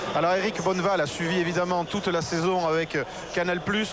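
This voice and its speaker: There is noticeable background noise behind a man with a high voice. He talks fairly quickly, with monotone, flat intonation. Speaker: TV rugby presenter. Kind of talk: live TV broadcast, halftime studio. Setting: pitch-side TV set in stadium, noisy. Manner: loud, speaking up over noise.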